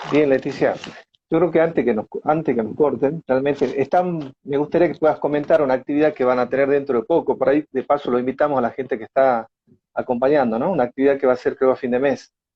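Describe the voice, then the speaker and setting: A man with an Argentine accent speaks at a very fast pace. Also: fairly high pitch for a man. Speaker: interviewer. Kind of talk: interview.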